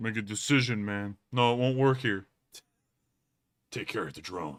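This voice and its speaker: A man speaks at a moderate pace in a put-on character voice. His pitch is medium. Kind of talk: voice acting, theatrical. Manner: urgent, commanding.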